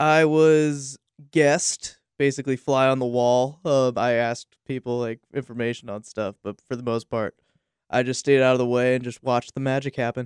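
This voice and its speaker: A man at a moderate pace with fairly even intonation, in a dry, close sound with no echo. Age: 20s. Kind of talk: casual chat.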